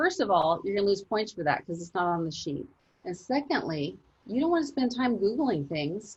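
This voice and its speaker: A somewhat breathy woman's voice at medium pitch, with very wide pitch swings. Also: moderate pace. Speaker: chemistry teacher. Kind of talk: online class lecture. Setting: video call.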